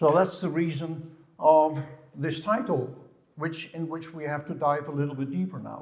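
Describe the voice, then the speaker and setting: With a Dutch accent, a man speaks at a moderate pace and fairly high pitch. His intonation is fairly even, and room echo is audible. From Netherlands. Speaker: physiotherapist. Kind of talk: conference lecture. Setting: stage with audience. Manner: halting, with repetitions.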